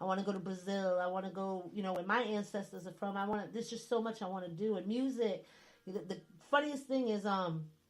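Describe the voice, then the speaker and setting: Very fast speech with a northern US accent and ordinary pitch variation. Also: woman, medium pitch for a woman. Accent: northern US accent, still noticeable. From US Northeast. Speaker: radio host. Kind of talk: casual chat. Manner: animated.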